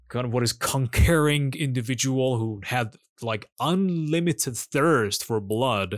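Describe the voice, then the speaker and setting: A man with a Persian accent, fairly slow in pace, with ordinary pitch variation. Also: medium pitch for a man. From Iran. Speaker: podcast co-host. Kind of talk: casual chat. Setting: remote call.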